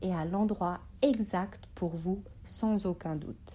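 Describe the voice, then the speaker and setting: A woman talks at a very slow pace with a medium pitch. Her voice is somewhat breathy with a dark, mellow tone. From Switzerland, Bosnian family background. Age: 30s. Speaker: psychology student. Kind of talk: scripted talk.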